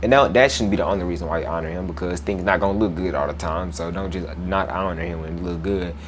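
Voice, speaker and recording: A man with a very deep, low voice is heard with audible room echo and noticeable background noise. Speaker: Bible teacher. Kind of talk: Bible lesson with scripture reading. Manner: casual, conversational; stumbles over words.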